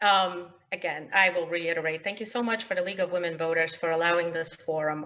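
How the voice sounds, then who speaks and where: A woman with a Polish accent talks at a fairly quick pace in a bright, sharp tone. Her intonation stays fairly even. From Poland, then US Midwest (Illinois suburbs) from age eleven. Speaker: state representative candidate. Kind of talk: opening statement at candidate forum. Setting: virtual webinar forum. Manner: frequent filler words (um, uh).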